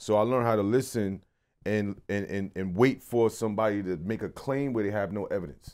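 With a New York accent, a man talks at a fairly quick pace in a fairly low pitch with ordinary pitch variation. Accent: New York City. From Brooklyn, New York. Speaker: podcast co-host and magazine founder. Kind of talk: casual interview.

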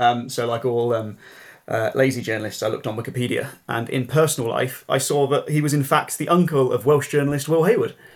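With an English accent, a man with fairly high pitch and ordinary pitch variation is heard on a very clean recording with a silent background. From England. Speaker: political journalist. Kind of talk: interview.

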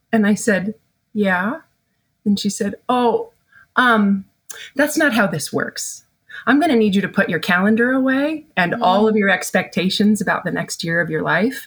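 A woman speaks at a moderate pace with a fairly high pitch and lively intonation. Her somewhat breathy voice comes through a very clean recording with a silent background. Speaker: family therapist. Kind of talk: candid interview conversation.

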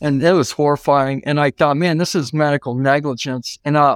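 Recorded very cleanly with a silent background and a dry, close sound with no echo, a man has an unremarkable speaking voice, a fairly high pitch, fairly even intonation and a moderate pace. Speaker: civil rights attorney. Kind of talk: casual interview. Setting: studio.

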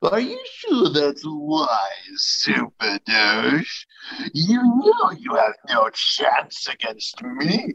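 A put-on character voice at a middle pitch carries a menacing tone. The delivery moves at a very slow pace. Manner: menacing, taunting.

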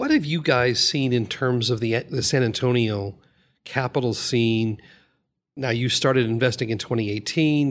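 A man speaks in a normal speaking voice at a medium pitch, with fairly even intonation. The recording is very clean, and the background is silent. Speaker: podcast co-host. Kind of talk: interview.

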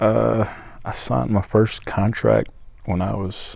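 A man with a slight Southern US accent, at a fairly slow pace. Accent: Southern US, slight twang. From Georgia, US. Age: 20s. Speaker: country singer-songwriter. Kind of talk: casual interview chat. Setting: studio. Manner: mature, thoughtful.

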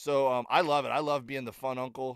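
The speaker is a man with a medium pitch. He keeps a moderate tempo and a monotone, flat intonation. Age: 40s. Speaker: comedian. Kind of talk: casual chat. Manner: halting.

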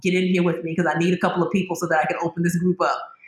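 There is noticeable background noise in this clip. The speaker is a woman. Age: 50s. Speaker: natural bath and body company founder. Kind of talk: casual interview.

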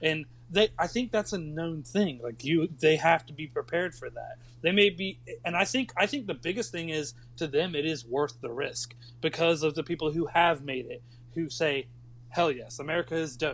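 A man talks at a moderate pace in a plain, everyday voice. His pitch sits fairly high. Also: ordinary pitch variation. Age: 30s. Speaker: podcast guest. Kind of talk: casual chat.

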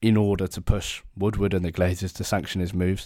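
Speaking at a fairly quick pace with an English accent, a man uses a very deep, low pitch and a dark, mellow tone with monotone, flat intonation, in a very clean recording with a silent background. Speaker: football podcast host. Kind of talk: casual sports discussion podcast.

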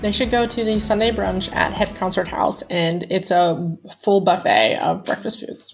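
With an American accent and a normal speaking voice, a woman speaks at a moderate pace and medium pitch, with ordinary pitch variation and hardly any pauses. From US Pennsylvania. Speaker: travel writer and expat. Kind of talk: casual interview chat.

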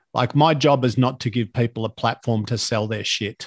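A man with an Australian accent keeps a moderate pace and ordinary pitch variation on a very clean recording with a silent background. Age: 50s. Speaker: podcast host and fitness speaker. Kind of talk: casual interview chat.

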